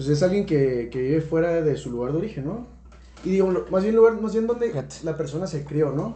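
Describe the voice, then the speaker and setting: Lively intonation carries the speech along at a fairly quick pace, with audible room echo around it. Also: man, fairly high pitch for a man. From Tijuana, Mexico. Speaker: podcast guest, businessman. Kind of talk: casual chat.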